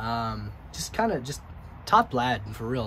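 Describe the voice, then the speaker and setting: There is audible room echo around this man. He speaks at a medium pitch. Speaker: EDC gear reviewer. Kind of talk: product review. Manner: casual, halting with many fillers.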